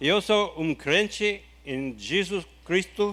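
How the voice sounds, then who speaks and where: A man with an English accent is heard on a very clean recording with a silent background. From USA. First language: English (speaking Portuguese). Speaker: ministry founder. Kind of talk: testimony. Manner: halting.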